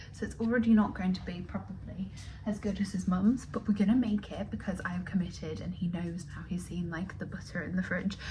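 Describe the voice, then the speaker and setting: Whispering at a fairly quick pace, a woman is heard through audible room echo and noticeable background noise. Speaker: lifestyle vlogger and florist. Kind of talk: casual vlog chat. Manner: chatty.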